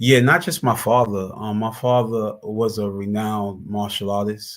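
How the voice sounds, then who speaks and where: A man with a New York accent speaks at a moderate pace in a fairly low voice. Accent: New York City. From Brooklyn, New York (East New York). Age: 40s. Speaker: former prisoner and justice advocate. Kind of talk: interview. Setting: live stream. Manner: halting, with frequent repetitions.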